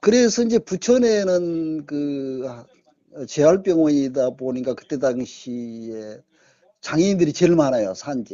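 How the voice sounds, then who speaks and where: At a very slow pace, a man with a fairly high pitch shows very wide pitch swings and big swings in loudness. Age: 70s. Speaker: retired journalist. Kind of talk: interview.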